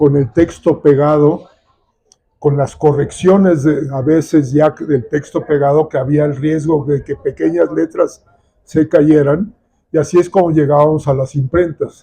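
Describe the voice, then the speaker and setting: Speaking fairly slowly, a man with a fairly high-pitched, somewhat breathy voice and a dark, mellow tone keeps a fairly even intonation. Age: 70s. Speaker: nature photographer and conservationist. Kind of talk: book presentation talk.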